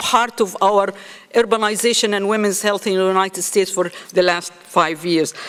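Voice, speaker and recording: Noticeable background noise sits behind a woman speaking at a medium pitch. She keeps a moderate pace with ordinary pitch variation. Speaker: nursing school dean. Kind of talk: conference speech.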